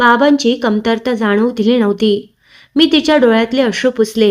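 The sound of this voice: The pitch moves in ordinary ways throughout this unforced reading voice.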